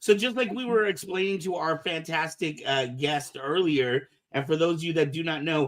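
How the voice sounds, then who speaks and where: In a normal speaking voice, a man with a fairly high pitch talks at a moderate pace with ordinary pitch variation and hardly any pauses. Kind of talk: casual podcast host talk. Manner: upbeat.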